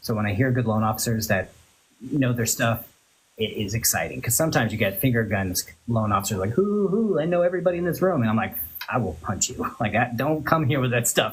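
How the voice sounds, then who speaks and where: Fairly quick, somewhat breathy speech from a man with an American accent, medium pitch and lively intonation. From Florida. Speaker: loan officer, livestream host. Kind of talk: casual chat. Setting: social media livestream.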